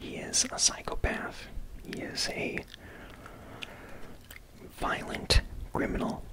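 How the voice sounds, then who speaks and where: Soft-spoken whispering amid noticeable background noise. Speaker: book reviewer. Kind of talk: commentary on a film book.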